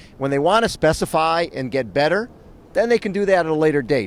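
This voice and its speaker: A man with a fairly high pitch talks at a fairly quick pace, with very wide pitch swings. His tone is animated, and the recording is very clean with a silent background. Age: 60s. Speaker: triathlon coach and radio host. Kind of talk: casual chat.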